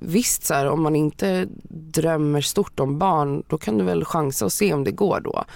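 Her pitch very deep and low, a woman speaks at a fairly slow pace with very wide pitch swings and very even loudness. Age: 30s. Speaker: podcast guest considering solo motherhood. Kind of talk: casual chat.

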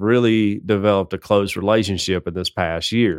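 A fairly low-pitched man with a Southern US accent at a moderate pace, in a very clean recording with a silent background. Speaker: podcast co-host. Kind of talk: casual chat. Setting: studio.

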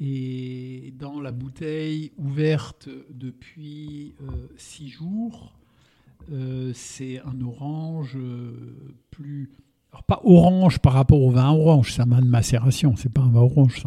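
At a very slow pace, a man of medium pitch speaks in a dark, mellow, somewhat breathy tone with fairly even intonation and big swings in loudness. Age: 60s. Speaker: winemaker. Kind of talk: interview. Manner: calm, measured.

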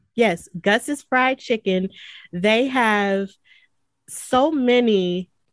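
In a dry, close recording with no echo, a woman with a slight Southern US accent speaks with ordinary pitch variation. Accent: mild Southern US. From US South. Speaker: wrestling podcaster and commentator. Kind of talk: interview. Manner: frequent filler words.

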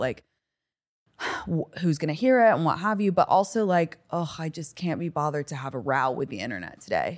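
A woman with a General American accent has an unremarkable speaking voice and fairly low pitch. She talks at a fairly quick pace with lively intonation. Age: 30s. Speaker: social media influencer.

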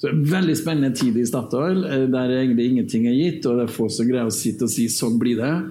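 Audible room echo surrounds a man speaking at a medium pitch with ordinary pitch variation. His pace is fairly quick, with hardly any pauses and very even loudness. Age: 40s. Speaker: oil company sustainability director. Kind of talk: panel discussion.

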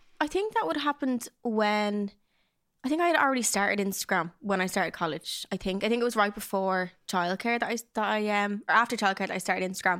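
The speaker talks at a very fast pace in a Dublin accent with lively intonation. The recording is very clean, with a silent background. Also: woman, medium pitch for a woman. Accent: Dublin Irish. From South Dublin, Ireland. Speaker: influencer and podcaster. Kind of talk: casual chat.

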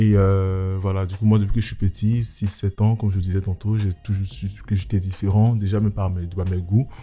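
A man speaks at a moderate pace with hardly any pauses, his pitch fairly low. His tone is dark and mellow, somewhat breathy, with monotone, flat intonation. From Côte d'Ivoire (Abidjan). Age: 20s. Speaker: lawyer and photographer. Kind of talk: testimony.

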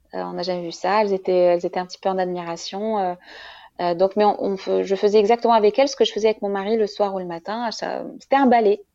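Speaking at a very fast pace, a woman uses a medium pitch and a dark, mellow tone with fairly even intonation. Her volume shifts a great deal. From Morocco. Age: 30s. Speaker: mother of triplets, marketing professional. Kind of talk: testimony. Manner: halting.

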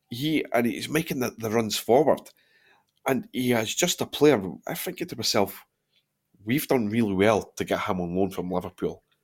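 In a very clean recording with a silent background, a man with a Dundee accent speaks at a medium pitch and moderate pace with lively intonation. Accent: Scottish (Dundee). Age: 30s. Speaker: football podcast host. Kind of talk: casual chat.

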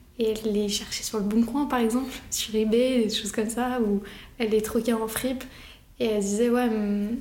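A woman's fairly high pitch with monotone, flat intonation at a moderate pace, amid noticeable background noise and audible room echo. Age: 20s. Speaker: fashion photographer. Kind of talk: casual interview monologue. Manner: hesitant, with fillers.

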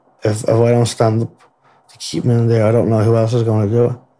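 A man speaks fairly quickly in an Irish accent with monotone, flat intonation. His medium-pitched voice has a dark, mellow tone. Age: 20s. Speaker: murder trial witness. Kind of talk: testimony.

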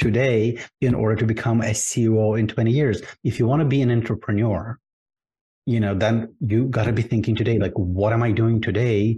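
Over a quiet background, a man with a dark, mellow, somewhat breathy voice speaks at a medium pitch and moderate pace. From Ukraine. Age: 50s. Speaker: career strategist. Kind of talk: interview.

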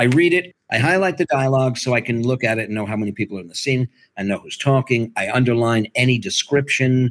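A medium-pitched man with an American accent, very fast and hardly pausing, in a dry, close sound with no echo. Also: ordinary pitch variation. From US Northeast. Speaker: audiobook narrator and acting teacher. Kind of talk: casual chat. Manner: animated.

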